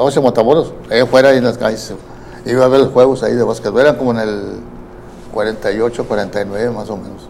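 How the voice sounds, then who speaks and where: At a moderate pace, a man with a medium-pitched voice speaks in fairly even intonation over noticeable background noise. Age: 80s+. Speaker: youth baseball coach. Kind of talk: interview. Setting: studio.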